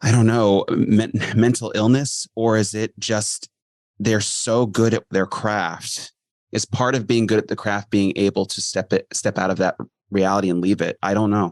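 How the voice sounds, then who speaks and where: Speaking in a plain, everyday voice, a man keeps a moderate pace and a fairly low pitch with fairly even intonation, in a dry, close sound with no echo. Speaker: podcast host. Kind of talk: casual podcast conversation.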